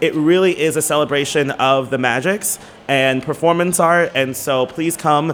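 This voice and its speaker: This man has a fairly high pitch, ordinary pitch variation and very even loudness at a moderate pace. It is an unremarkable speaking voice. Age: 30s. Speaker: drag performer. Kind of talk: casual chat.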